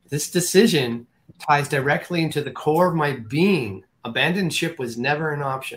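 Fairly high in pitch, a man speaks with lively intonation. His pace is moderate. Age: 60s. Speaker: holistic energy healer. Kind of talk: interview. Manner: halting.

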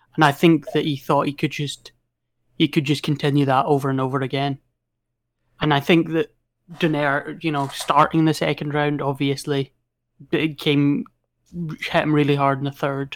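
On a very clean recording with a silent background, a man with a Scottish accent speaks at a moderate pace with long, frequent pauses. His voice is fairly high for a man and his intonation is a flat monotone. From Scotland. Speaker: boxing podcast guest. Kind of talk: casual chat.

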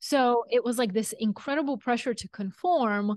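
In a Bulgarian accent, a woman speaks at a moderate pace and a fairly high pitch, with a dry, close sound with no echo and a quiet background. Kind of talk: interview conversation.

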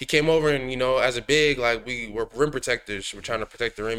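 A man speaks at a fairly quick pace with an American accent. His tone is bright and sharp. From Minnesota, US (Woodbury). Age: 20s. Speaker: professional basketball player. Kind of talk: casual interview. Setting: studio.

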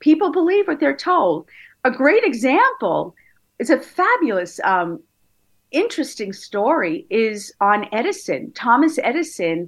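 Over a quiet background, a woman with an American accent talks at a fairly slow pace, her pitch swinging very widely. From New York, Long Island. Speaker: therapist and hypnotherapist. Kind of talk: interview.

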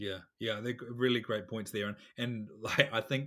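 This man speaks with a New Zealand accent. The recording is very clean, with a silent background. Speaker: podcast host. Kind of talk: casual interview. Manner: halting.

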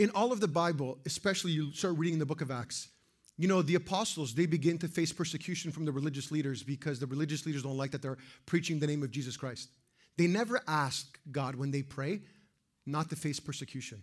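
Talking at a very fast clip, a man with a fairly high, somewhat breathy voice uses ordinary pitch variation on a very clean recording with a silent background. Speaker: pastor. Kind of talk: sermon. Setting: church. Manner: serious, intense.

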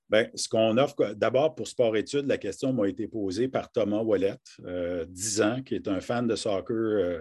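Against a quiet background, a man with a dark, mellow tone speaks at a fairly slow pace, his pitch fairly low with ordinary variation. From northern Ontario, near Kapuskasing. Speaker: university rector. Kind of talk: live interview. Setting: video call. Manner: hesitant, frequent fillers and repetitions.

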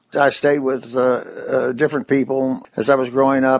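A man with a Kentucky accent at a medium pitch, in a monotone with flat intonation, over noticeable background noise. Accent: Kentucky, US South. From Kentucky, Corbin. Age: 80s+. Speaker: atheist activist. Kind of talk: interview.

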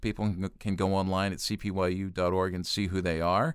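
Talking at a fairly quick pace, a man with a fairly low pitch has an ordinary speaking voice, captured in a very clean recording with a silent background. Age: 60s. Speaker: youth ministry organization president. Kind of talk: casual chat. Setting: studio.

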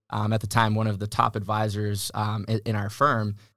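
At a moderate pace, a man with a fairly low pitch speaks on a very clean recording with a silent background. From Massachusetts. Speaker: plumbing business owner. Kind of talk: interview. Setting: studio.

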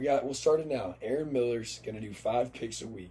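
Speaking at a fairly quick pace, a man with a fairly high pitch and a dark, mellow tone sounds somewhat breathy, with ordinary pitch variation. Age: 20s. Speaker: podcast co-host. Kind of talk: casual chat.

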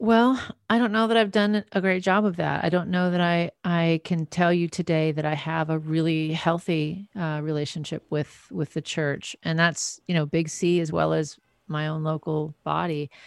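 A woman's plain, everyday voice with an American accent, fairly low in pitch, at a moderate pace with ordinary pitch variation, in a dry, close sound with no echo. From US Midwest, North Dakota, then San Francisco Bay Area. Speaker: singer and author. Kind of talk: interview conversation.

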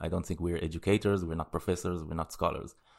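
A man speaks with an Israeli accent in a very deep, low voice and fairly even intonation. The recording is very clean, with a silent background. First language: Hebrew. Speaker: podcast co-host. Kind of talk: casual chat.

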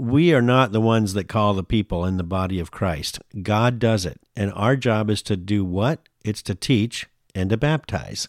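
A man talks at a moderate pace with a fairly low pitch and ordinary pitch variation. The recording is very clean, silent in the background, with a dry, close sound and no echo. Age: 50s. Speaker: Bible discussion guest. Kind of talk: casual religious discussion. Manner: halting, frequent restarts.

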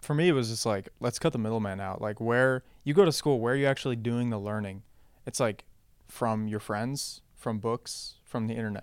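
In a very clean recording with a silent background, a man with an ordinary speaking voice talks at a fairly quick pace, medium in pitch with ordinary pitch variation. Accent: American. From international, US and Western Europe. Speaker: startup co-founder. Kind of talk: interview. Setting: office.

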